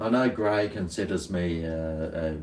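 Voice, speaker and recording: This man speaks at a fairly slow pace with an Australian accent. His pitch varies an ordinary amount. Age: 50s. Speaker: livestreamer. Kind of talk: casual chat. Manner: halting.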